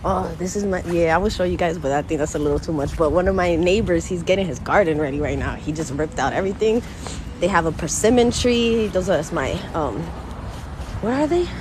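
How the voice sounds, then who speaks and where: A woman with an American accent speaks very fast in a fairly low pitch with lively intonation, amid noticeable background noise and audible room echo. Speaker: gardening vlogger. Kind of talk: casual vlog talk to camera. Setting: outdoors walking through the neighborhood. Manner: chatty, animated.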